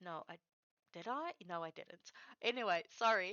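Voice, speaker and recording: With a South African accent, a woman speaks with very wide pitch swings. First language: Afrikaans. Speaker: streamer. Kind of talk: casual chat. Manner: halting.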